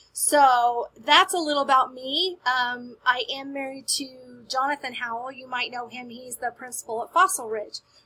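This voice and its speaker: A woman's raised, projected voice in an American accent, high and bright with a sharp tone and ordinary pitch variation. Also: hardly any pauses, big swings in loudness. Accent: Southern drawl, comes out occasionally. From US South. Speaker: school media specialist. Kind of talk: staff announcement. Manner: friendly, upbeat.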